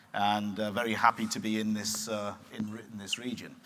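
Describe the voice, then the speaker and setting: Speaking fairly quickly with a British accent, a man has a bright, sharp tone at medium pitch. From England. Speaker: chemical company executive. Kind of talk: panel discussion.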